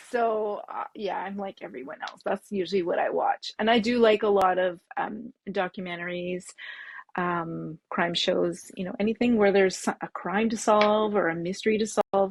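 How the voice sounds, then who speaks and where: Speaking at a moderate pace with fairly even intonation, a woman's medium-pitched voice sounds dry and close with no echo. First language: French. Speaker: bag pattern designer. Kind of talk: interview. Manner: halting.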